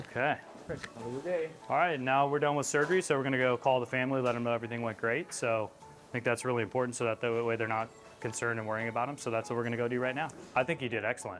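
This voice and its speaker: Over music in the background, a man talks at a very fast pace with a medium pitch and ordinary pitch variation. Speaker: orthopedic surgeon. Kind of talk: casual talk to camera.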